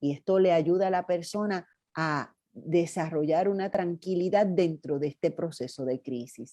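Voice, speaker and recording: Over a quiet background, a woman speaks at a fairly low pitch with a dark, mellow tone. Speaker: psychologist and workshop presenter. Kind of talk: workshop training talk.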